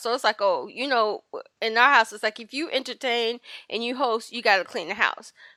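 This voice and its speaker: On a very clean recording with a silent background, a woman's fairly high voice has a bright, sharp tone, ordinary pitch variation and a dry, close sound with no echo. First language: French. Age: 40s. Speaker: identity alignment coach. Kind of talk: casual interview chat. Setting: studio.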